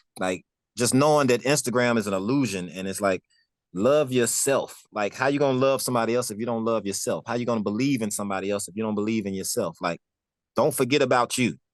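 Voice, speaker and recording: Very fast speech from a man at a medium pitch, with ordinary pitch variation. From Memphis, US South. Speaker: music producer and artist. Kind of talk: interview. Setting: studio.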